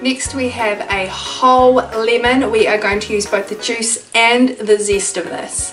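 Clear music plays in the background. A woman speaks at a fairly slow pace with a New Zealand accent. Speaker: cooking channel host. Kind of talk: casual cooking tutorial to camera. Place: home room. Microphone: camera far.

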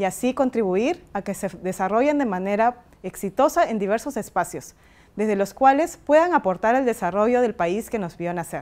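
A woman's fairly high voice at a moderate pace, with lively intonation. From Peru. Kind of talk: recorded video message. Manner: formal.

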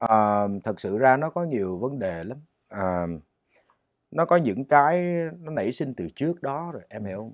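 Against a quiet background, a man speaks at a moderate pace, his pitch swinging very widely. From Vietnam. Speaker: singer; interview guest. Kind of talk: interview. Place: studio. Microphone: lapel.

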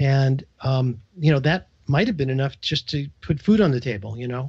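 Speaking at a moderate pace with a New York accent, the man sounds somewhat breathy. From New York, Brooklyn. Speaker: entrepreneur, business coach. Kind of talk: radio interview. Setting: radio show.

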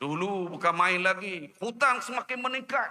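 At a moderate pace, a man with a high voice talks in an animated tone with lively intonation. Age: 50s. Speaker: politician. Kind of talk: political rally speech. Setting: outdoor rally with audience.

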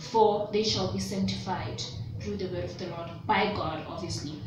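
A woman talks at a moderate speed, with clear room echo and distinct background noise around her. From South Africa. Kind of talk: religious teaching vlog. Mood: earnest, gentle. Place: home room. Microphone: phone near.

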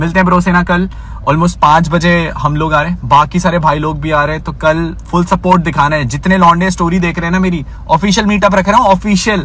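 A man's high voice at a moderate pace, fairly even in intonation, with clear background noise.

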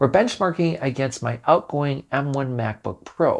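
A man talks at a fairly slow pace with ordinary pitch variation against a quiet background. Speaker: tech reviewer. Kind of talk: tech review talk. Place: office. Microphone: lapel.

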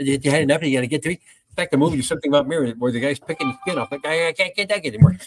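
A man talks at a very fast pace with hardly any pauses and a fairly high pitch. The sound is dry with no echo, over light background noise. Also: ordinary pitch variation. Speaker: podcast co-host, former radio host. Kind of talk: casual comedic chat. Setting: studio. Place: home room. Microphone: studio mic.

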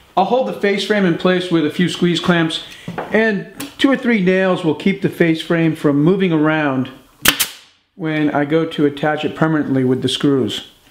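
Over noticeable background noise, a man speaks at a moderate pace. His pitch is high, with ordinary variation. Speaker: woodworking instructor. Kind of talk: tutorial. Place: workshop.

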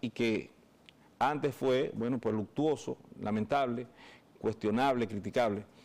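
A man talks in an ordinary speaking voice at a moderate pace. His pitch varies in an ordinary way. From Dominican Republic. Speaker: lawyer. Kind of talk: interview. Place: studio. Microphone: lapel.

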